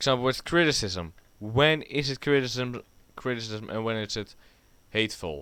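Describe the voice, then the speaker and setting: A man with a Dutch accent speaks at medium pitch and a moderate pace. His tone is bright and sharp, and the recording is very clean with a silent background. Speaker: YouTuber. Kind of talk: casual rant. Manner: rambling, halting.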